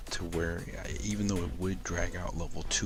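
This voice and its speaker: A man's very deep, low voice with ordinary pitch variation over music in the background. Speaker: gaming channel host. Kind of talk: let's play game review commentary. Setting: faulty microphone.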